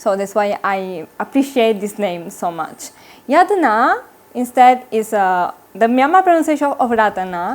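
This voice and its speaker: Her pace is on the slow side, fairly so. This woman has an Italian accent. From Italy. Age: 20s. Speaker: Buddhist nun. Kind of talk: interview. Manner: halting.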